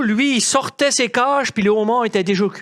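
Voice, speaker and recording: A man speaks in an animated tone, his pitch varying in an ordinary way. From Magdalen Islands, Quebec. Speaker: storyteller. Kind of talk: storytelling performance. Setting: stage with small audience.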